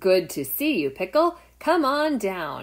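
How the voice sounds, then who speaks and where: A woman does a put-on character voice at medium pitch and a fairly slow pace. The recording is very clean, with a silent background. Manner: friendly, welcoming.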